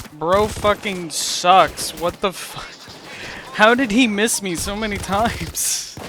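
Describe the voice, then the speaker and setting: Noticeable background noise sits behind a man with a high voice speaking at a very slow pace. His loudness swings widely, with ordinary pitch variation. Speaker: gaming YouTuber. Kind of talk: gameplay commentary; casual chat.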